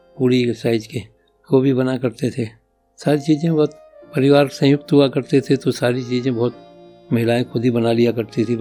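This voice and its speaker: Music sits in the background. A man speaks at a medium pitch. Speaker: father sharing life stories. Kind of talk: podcast interview answer. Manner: conversational, reminiscing.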